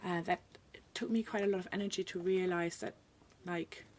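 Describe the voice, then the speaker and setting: Speaking at a fairly quick pace, a woman with a German accent has a medium pitch. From Germany. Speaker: illustrator. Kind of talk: casual interview chat.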